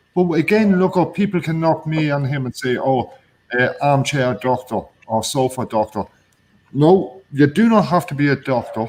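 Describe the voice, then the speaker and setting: In an Irish accent, a man speaks at a moderate pace with a fairly high pitch and lively intonation. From Ireland. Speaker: guest on online phone-in show. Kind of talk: casual chat. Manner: loud.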